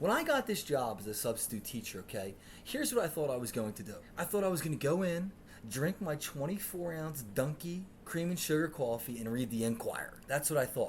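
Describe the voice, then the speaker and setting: Somewhat breathy and animated in tone, the voice runs at a fairly quick pace with very wide pitch swings. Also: man, fairly high pitch for a man. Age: 30s. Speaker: podcast host. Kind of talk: comedic storytelling.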